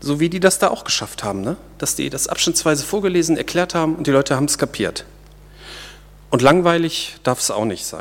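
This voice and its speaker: Fairly quick and lively in intonation, a man talks in an unremarkable speaking voice, pitched fairly high. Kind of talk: sermon. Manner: conversational and informal, explaining and joking; warm, earnest, teaching tone.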